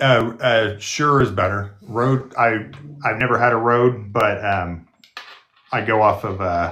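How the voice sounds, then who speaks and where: A man mumbles at a very slow pace. His medium pitch holds fairly even intonation. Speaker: nurse and video creator. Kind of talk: casual chat. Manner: mumbling; halting. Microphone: studio podcast microphone.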